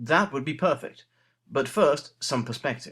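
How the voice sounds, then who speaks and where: A man with an English accent, very wide pitch swings and a moderate pace. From England. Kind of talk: comic letter reading.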